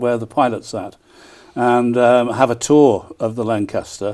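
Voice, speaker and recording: The man's voice carries a dark, mellow tone. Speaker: town crier. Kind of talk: TV news interview answer. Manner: enthusiastic.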